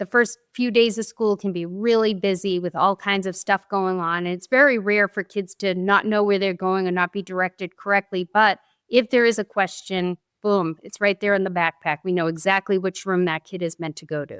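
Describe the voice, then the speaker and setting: In a Boston accent, a woman with a medium pitch speaks at a moderate pace with fairly even intonation and hardly any pauses, on a very clean recording with a silent background and a dry, close sound with no echo. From Boston area, US. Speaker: former teacher, parent advocate. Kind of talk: podcast interview.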